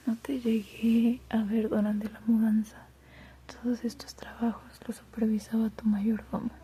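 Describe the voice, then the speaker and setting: A soft-spoken woman talks at a fairly slow pace in a gentle tone, her pitch fairly high. Her intonation is monotone and flat, and background noise is noticeable. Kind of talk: literary reading of a novella. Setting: reading aloud while doing homework in the background. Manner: soft-spoken, gentle, relaxing.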